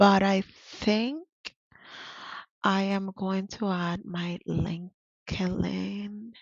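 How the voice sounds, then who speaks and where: This woman speaks at a very slow pace, with long, frequent pauses. Her medium-pitched voice has fairly even intonation. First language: Spanish. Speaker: interpreter and vlogger. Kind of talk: tutorial. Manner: casual, hesitant with fillers.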